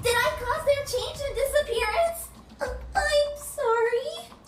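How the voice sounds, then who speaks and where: A squeaky, extremely high-pitched put-on character voice. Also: fairly slow pace. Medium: machinima. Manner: hesitant, stammering.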